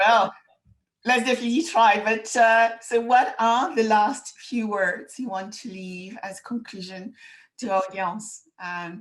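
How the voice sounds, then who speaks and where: With a French accent, a woman speaks at a fairly high pitch and a fairly slow pace. Her pitch varies in an ordinary way while her loudness swings widely. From France. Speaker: podcast host. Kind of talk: interview.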